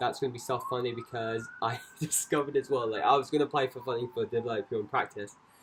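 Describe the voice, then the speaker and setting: A man talks at a fairly quick pace with fairly even intonation. Noticeable background noise can be heard. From Scotland. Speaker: dancer and choreographer vlogger. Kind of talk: casual vlog monologue. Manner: rambling, many fillers.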